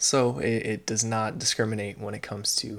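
The recording is very clean, with a silent background. A man speaks at a moderate pace in a fairly low pitch, his intonation fairly even. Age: 20s. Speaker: podcast host. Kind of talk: solo podcast monologue. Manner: frequent fillers and hesitations.

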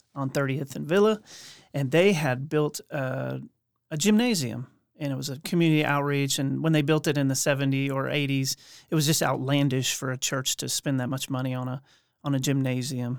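With an American accent, a man talks at a moderate pace in an ordinary speaking voice that sits fairly high in pitch. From Oklahoma City. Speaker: refugee community nonprofit leader. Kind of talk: personal storytelling.

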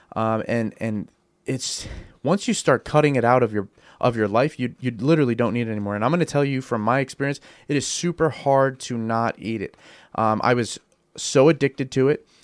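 Talking at a fairly quick pace, a man uses a normal speaking voice with medium pitch and ordinary pitch variation. The recording is very clean, with a silent background. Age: 30s. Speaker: radio show co-host. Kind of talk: casual chat; motivational talk. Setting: studio.

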